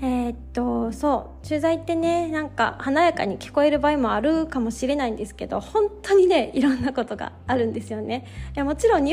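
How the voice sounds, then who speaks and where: Speaking in a Kansai accent, a woman talks fairly quickly with hardly any pauses in a relaxed, gentle tone, her loudness swinging widely. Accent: Kansai Japanese. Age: 30s. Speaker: yoga instructor and podcast host. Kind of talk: casual solo talk; guided meditation.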